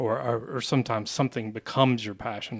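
The man has an unremarkable speaking voice at a medium pitch. His intonation is fairly even. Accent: American. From Asheville, North Carolina. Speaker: branding agency co-founder. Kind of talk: casual interview.

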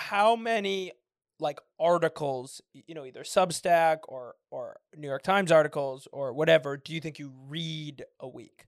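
With an American accent, a man in an ordinary speaking voice talks at a moderate pace and a fairly high pitch, using ordinary pitch variation and big swings in loudness. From US West Coast, San Francisco. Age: 20s. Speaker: podcast host. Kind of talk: casual interview.

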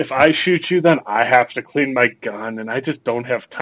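With ordinary pitch variation, an ordinary speaking voice proceeds at a moderate pace. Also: man. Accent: American. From Minnesota. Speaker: podcast host. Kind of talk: casual chat.

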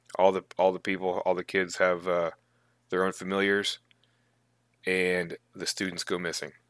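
A man's very deep, low voice in a monotone, flat delivery at a moderate pace, broken by long, frequent pauses, with a dry, close sound and no echo. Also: very clean recording, silent background. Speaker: tabletop gaming podcast co-host. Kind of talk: casual chat.

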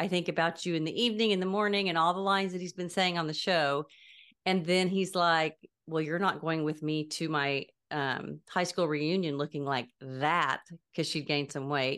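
A woman's fairly low voice, an ordinary speaking voice, at a moderate pace with ordinary pitch variation and a quiet background. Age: 60s. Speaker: podcast co-host. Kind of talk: casual chat.

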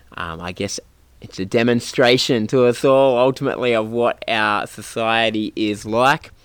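Man with an Australian accent and medium pitch. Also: ordinary pitch variation, moderate pace. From New South Wales, Australia. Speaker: community radio host. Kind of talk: radio interview. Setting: on location.

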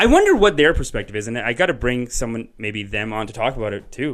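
A man's normal speaking voice, fairly quick and with hardly any pauses, lively in intonation, over a quiet background. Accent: Canadian. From Canada. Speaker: podcast host. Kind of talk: casual chat. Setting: studio, live on Facebook video.

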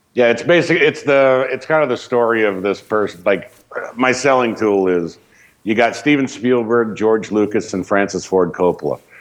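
This is an unremarkable speaking voice. The intonation is lively and the pace is moderate. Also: man, medium pitch for a man. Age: 40s. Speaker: film director and actor. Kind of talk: casual chat.

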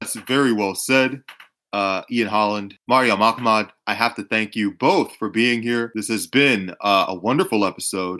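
Bright and sharp in tone, a man with an American accent speaks at medium pitch and a moderate pace with ordinary pitch variation. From Atlanta, Georgia, US. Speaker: podcast host. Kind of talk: casual interview chat. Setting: online call recording. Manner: joking, sarcastic.

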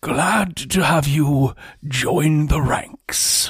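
A raspy, put-on character voice at a middle pitch. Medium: actual play. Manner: formal, smooth, controlled.

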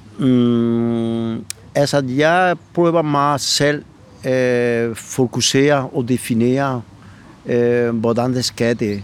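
Amid noticeable background noise, a man at medium pitch talks very slowly, with very even loudness and fairly even intonation. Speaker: flamenco singer. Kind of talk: casual interview. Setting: outdoors. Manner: halting, many fillers and repetitions.

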